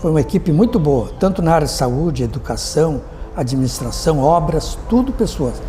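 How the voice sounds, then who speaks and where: A man at a moderate pace and very even loudness, with music in the background and audible room echo. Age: 80s+. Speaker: retired army officer and former mayor. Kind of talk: interview testimony.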